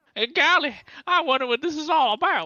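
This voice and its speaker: The speaker uses a put-on character voice. It sits high in pitch. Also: fairly quick pace. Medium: machinima. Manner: excitable, blunt.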